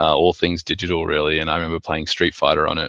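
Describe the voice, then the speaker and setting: The voice, with an Australian accent, has a bright, sharp tone and a dry, close sound with no echo against a quiet background. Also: man. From Sydney, Australia. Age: 30s. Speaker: artist and designer. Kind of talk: presentation talk with slides. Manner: hesitant, many filler words.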